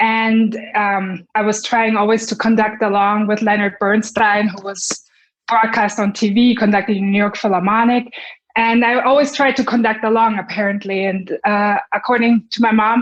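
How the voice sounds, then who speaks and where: Her intonation monotone and flat, a woman with a German accent speaks at a moderate pace and a fairly high pitch. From Germany, Munich. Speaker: violinist and conductor. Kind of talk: interview.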